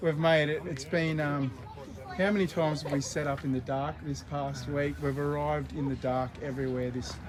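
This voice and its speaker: In a room with audible echo and noticeable background noise, a man speaks with an Australian accent and ordinary pitch variation. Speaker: independent news channel host. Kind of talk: casual live vlog chat. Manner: speaking quietly.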